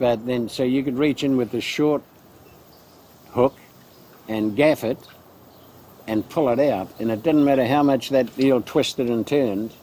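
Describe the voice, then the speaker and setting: In a New Zealand accent, a man speaks at medium pitch with fairly even intonation. His pace is fairly slow, broken by long, frequent pauses. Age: 80s+. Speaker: local elder. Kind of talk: interview recollection.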